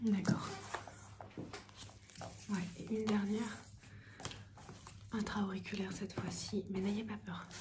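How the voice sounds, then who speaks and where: The speaker is soft-spoken and talks at a fairly slow pace with long, frequent pauses. Noticeable background noise runs underneath. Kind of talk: ASMR roleplay, ENT consultation.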